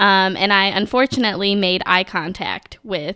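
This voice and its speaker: Recorded very cleanly with a silent background, a woman with an American accent speaks at a medium pitch and a fairly slow pace. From Minnesota, US. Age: 20s. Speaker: accountant. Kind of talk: casual chat.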